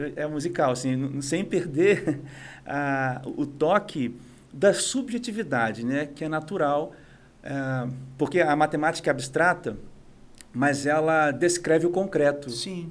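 A man speaks at a fairly slow pace in a plain, everyday voice. His pitch is fairly high, with ordinary variation. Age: 40s. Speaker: conductor and musician. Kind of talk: casual interview. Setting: studio.

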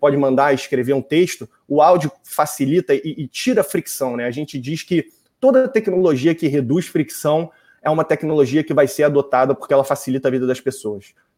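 Man with a fairly high pitch, dark and mellow in tone, at a moderate pace with ordinary pitch variation, on a very clean recording with a silent background. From Brazil, Rio de Janeiro. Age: 20s. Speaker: voice technology agency executive. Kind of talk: interview.

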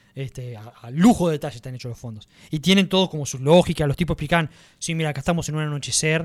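Speaking very fast with an animated tone, a man with a Rioplatense accent uses a fairly high pitch. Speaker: podcast host. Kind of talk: casual chat.

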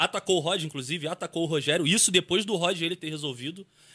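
Very fast speech with a bright, sharp tone comes through a dry, close sound with no echo, on a very clean recording with a silent background. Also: man. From Ceará, Brazil. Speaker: YouTuber in stunt group. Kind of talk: casual chat.

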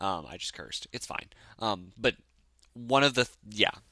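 On a very clean recording with a silent background, a man speaks at a moderate pace in a bright, sharp tone. His delivery is animated, with ordinary pitch variation. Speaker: podcast host reviewing TV and movies. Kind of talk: casual monologue.

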